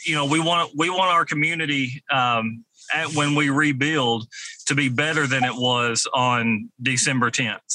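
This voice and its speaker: A man's bright, sharp tone at fairly high pitch, very even in loudness and fairly slow, in a dry, close sound with no echo. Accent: Kentucky. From western Kentucky, Mayfield. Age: 40s. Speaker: fire chief. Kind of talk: interview. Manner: halting.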